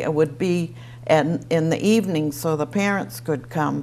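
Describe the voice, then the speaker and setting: Speaking at a fairly slow pace in an American accent, a woman uses a very deep, low pitch with vocal fry and lively intonation. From Easton, Massachusetts. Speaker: retiree sharing local memories. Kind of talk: oral history interview.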